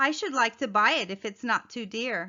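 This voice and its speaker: A woman speaks at a moderate pace in a put-on character voice with a fairly high pitch. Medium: read story.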